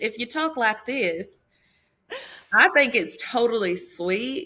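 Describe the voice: In a put-on character voice with a Southern accent, the speaker drawls at a fairly slow pace, fairly high in pitch and raised and projected.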